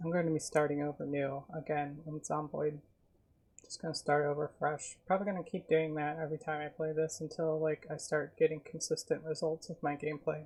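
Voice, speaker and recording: Soft-spoken and somewhat breathy, a woman with a very deep, low pitch talks at a fairly quick pace in a monotone, flat intonation. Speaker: streamer. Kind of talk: casual chat. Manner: soft-spoken, reserved.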